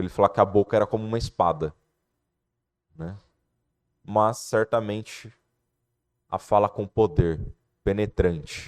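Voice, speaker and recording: Dry and close with no echo, a man's fairly low voice moves at a fairly slow pace with fairly even intonation and long, frequent pauses. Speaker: lay preacher. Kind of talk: sermon.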